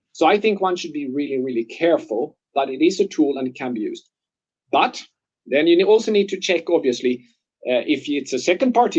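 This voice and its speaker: Using very wide pitch swings, a man with a non-native accent talks at a very fast pace. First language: not English. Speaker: medical device expert. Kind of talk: webinar Q&A.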